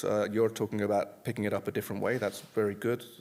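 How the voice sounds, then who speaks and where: A man with a fairly low voice. He talks very fast. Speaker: conference presenter, software developer. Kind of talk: conference talk Q&A. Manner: loud.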